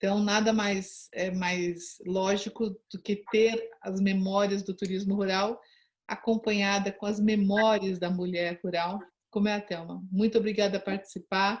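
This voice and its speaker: At a fairly slow pace, a woman with a somewhat breathy, medium-pitched voice speaks in a monotone, flat intonation. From São Paulo, Brazil. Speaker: interviewer, rural tourism channel host. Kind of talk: interview introduction.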